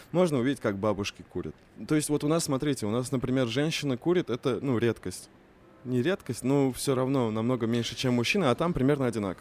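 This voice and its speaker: This man speaks at a very fast pace in a medium pitch. His loudness stays very even, and his pitch varies in an ordinary way. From Russia, Kazan (Tatar). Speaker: youth project manager and poet. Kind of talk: casual chat.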